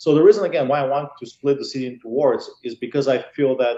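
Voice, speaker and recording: In a Bulgarian accent, a man talks at a very fast pace. His pitch is medium, with ordinary pitch variation. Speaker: political candidate, highway patrol officer. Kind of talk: interview.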